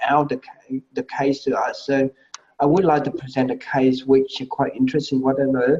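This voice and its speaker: A man talks at a fairly quick pace with a fairly high pitch. His intonation stays fairly even. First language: Vietnamese. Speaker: medical presentation panelist. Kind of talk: feedback critique. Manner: halting.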